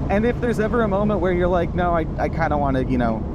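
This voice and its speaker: The recording of a man is dry with no echo but carries noticeable background noise. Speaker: automotive journalist. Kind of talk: car review commentary. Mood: enthusiastic, relaxed.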